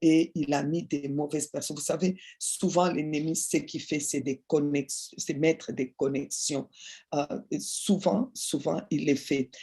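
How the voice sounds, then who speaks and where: Over a quiet background, the words come out at a very slow pace. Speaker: preacher. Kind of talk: sermon. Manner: slow, deliberate.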